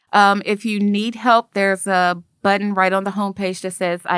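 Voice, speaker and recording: A woman with a Memphis accent speaks at a medium pitch and a moderate pace in a monotone, flat intonation, with a dry, close sound with no echo on a very clean recording with a silent background. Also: hardly any pauses. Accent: sounds like a Memphis local. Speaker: nonprofit founder. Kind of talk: casual chat. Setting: studio.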